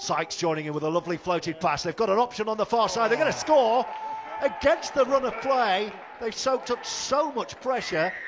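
This man has a high voice and an animated tone, speaking at a fairly quick pace. Noticeable background noise runs underneath. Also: lively intonation. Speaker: rugby league commentator. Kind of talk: live sports commentary. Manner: animated, fast-paced play-by-play.

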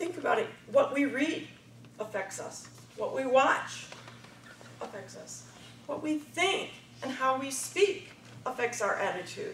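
Against noticeable background noise, a high-pitched woman speaks at a fairly slow pace with very wide pitch swings, big swings in loudness, and long, frequent pauses. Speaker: speech contestant, supervisor. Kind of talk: contest speech. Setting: stage with audience.

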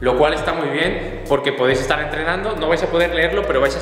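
A man talks very fast with ordinary pitch variation. Audible room echo and light background noise surround his voice. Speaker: fitness vlogger. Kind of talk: casual product review vlog. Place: gym. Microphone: camera far.

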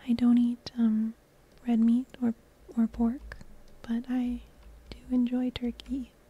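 Over noticeable background noise, a woman speaks very slowly in a high pitch with monotone, flat intonation. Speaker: ASMR gameplay creator. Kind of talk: soft-spoken ASMR gameplay commentary. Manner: soft-spoken, relaxing.

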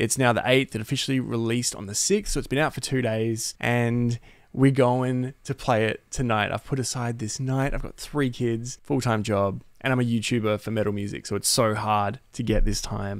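At a moderate pace and with hardly any pauses, a man speaks with fairly even intonation, the sound dry with no echo and the background quiet. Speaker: gaming streamer, music YouTuber. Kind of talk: casual stream chat. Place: home room. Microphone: studio mic.

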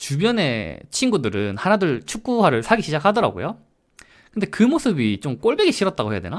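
Very wide pitch swings mark this fairly quick delivery. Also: man, high pitch for a man. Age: 30s. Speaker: vlogger. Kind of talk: casual monologue.

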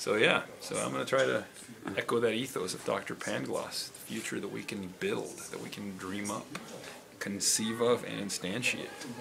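A man talks at a moderate pace, his loudness swinging widely, with noticeable noise behind him. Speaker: interviewee. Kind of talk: casual interview answer. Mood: amused, upbeat. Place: shop.

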